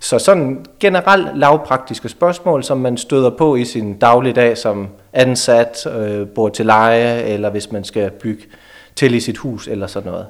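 An ordinary speaking voice at a fairly slow pace, with lively intonation. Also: man, medium pitch for a man. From Denmark, near Aarhus. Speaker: lawyer. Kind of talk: radio interview.

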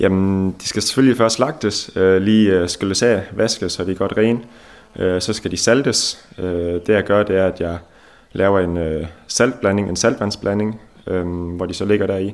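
A man's fairly low pitch, fairly even intonation and fairly slow pace. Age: 20s. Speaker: fish smokery owner. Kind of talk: interview. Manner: halting.

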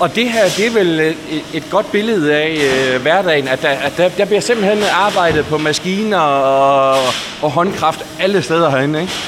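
Fairly slow male speech amid noticeable background noise and audible room echo. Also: fairly high pitch for a man, ordinary pitch variation. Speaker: podcast interviewer. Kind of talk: interview. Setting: on location in a bakery.

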